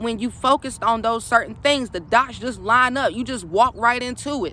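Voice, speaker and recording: A woman's fairly high voice at a fairly quick pace. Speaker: spiritual coach. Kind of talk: casual vlog monologue. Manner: fast.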